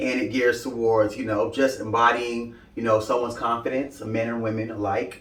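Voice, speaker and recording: Over noticeable background noise, a man with an American accent speaks at a medium pitch and a moderate pace, his intonation monotone and flat. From Brooklyn, New York. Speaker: fashion content creator. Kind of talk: interview.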